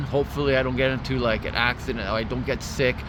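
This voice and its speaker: Background noise is noticeable throughout. The man's voice carries audible room echo. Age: 30s. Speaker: fitness vlogger. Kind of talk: casual vlog monologue. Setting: outdoors at a park. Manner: casual, filler-heavy.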